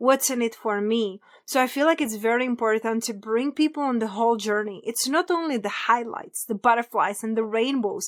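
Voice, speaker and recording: With a Czech accent, a woman speaks at a fairly high pitch with ordinary pitch variation and hardly any pauses. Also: fairly quick pace. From Czech Republic. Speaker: abundance coach. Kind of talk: podcast interview.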